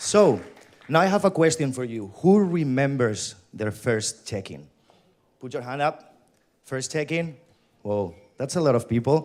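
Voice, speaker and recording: Speaking at a fairly slow pace, a man with a fairly high pitch uses lively intonation and takes long, frequent pauses. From Spain. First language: Spanish. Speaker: company employee, event host. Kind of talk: conference keynote. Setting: stage with audience.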